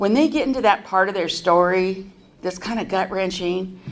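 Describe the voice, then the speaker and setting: In an American accent, a woman speaks at a medium pitch and moderate pace. Her pitch variation is ordinary, and audible room echo surrounds her voice. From US West Coast, San Francisco Bay Area. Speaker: recovery convention speaker. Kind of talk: recovery testimony. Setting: stage at a podium with audience. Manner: conversational with many fillers.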